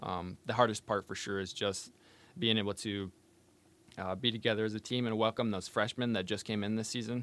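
A man talks with an American accent in a plain, everyday voice, fairly low in pitch, with fairly even intonation. He goes at a fairly quick pace on a very clean recording with a silent background. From northern Michigan, Benzie County. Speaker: college wrestler, engineering student. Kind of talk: casual interview. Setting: studio.

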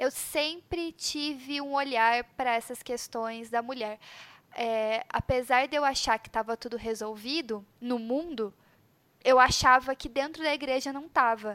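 Speaking fairly slowly, a woman with a high pitch and a bright, sharp tone shows big swings in loudness on a very clean recording with a silent background and a dry, close sound with no echo. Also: ordinary pitch variation. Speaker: podcast host. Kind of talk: casual chat.

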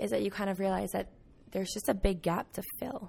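Fairly quick pace, ordinary pitch variation, and vocal fry. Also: woman. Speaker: college student. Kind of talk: group discussion.

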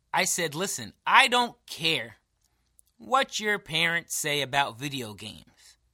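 A man speaks at a fairly slow pace in a bright, sharp tone with vocal fry and a fairly high pitch, swinging very widely in pitch. The recording is very clean, with a silent background. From New York. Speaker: podcast co-host. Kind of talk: casual chat, comedic banter. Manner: animated, joking.

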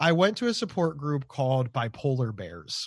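A somewhat breathy man's voice with an American accent, against a quiet background. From Ohio, US. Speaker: mental health advocate with bipolar disorder. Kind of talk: casual interview chat. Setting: remote call across time zones. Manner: talkative, halting with repeated words.

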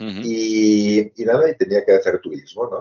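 A man speaks at a moderate pace. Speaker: hotel chain executive. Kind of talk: interview. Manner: halting.

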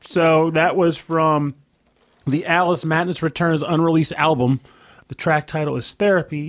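The recording is very clean, with a silent background. It carries a plain, everyday voice at a moderate pace. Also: man. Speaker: podcast co-host. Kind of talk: casual chat.

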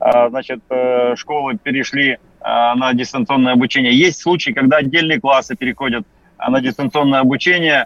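This man has an ordinary speaking voice at a medium pitch, with ordinary pitch variation and a moderate pace. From Yakutia, Russia. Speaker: deputy education minister. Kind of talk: radio interview. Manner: formal.

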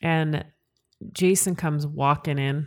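A woman speaks with a Western Canadian accent and a very deep, low pitch, using fairly even intonation. The recording is very clean, with a silent background. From Canada, Calgary, Alberta (Italian household). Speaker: podcast co-host. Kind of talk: casual chat.

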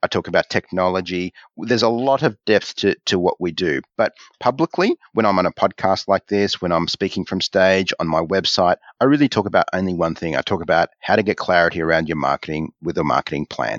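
Over a quiet background, the speaker talks at a fairly quick pace with an Australian accent and ordinary pitch variation, the sound dry and close with no echo. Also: man. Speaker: marketing coach and author. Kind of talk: interview. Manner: halting.

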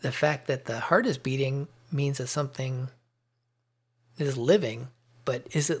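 On a very clean recording with a silent background, a man with a fairly high, somewhat breathy voice speaks at a fairly slow pace with fairly even intonation. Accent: American. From US Midwest. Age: 50s.

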